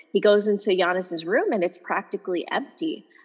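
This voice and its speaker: Noticeable background noise behind fairly quick delivery. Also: woman. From Los Angeles, US. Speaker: sports journalist and author. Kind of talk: interview.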